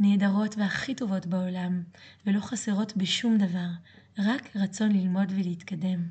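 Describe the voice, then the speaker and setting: A woman's somewhat breathy voice with a dark, mellow tone, fairly even intonation and a moderate pace. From France. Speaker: yoga teacher and podcast host. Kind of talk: monologue.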